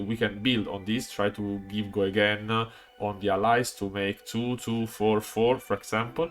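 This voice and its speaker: Music plays behind a man with an Italian accent. He speaks at a moderate pace and a fairly low pitch with fairly even intonation. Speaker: card game content creator. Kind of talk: video commentary on card game strategy. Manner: halting, many fillers.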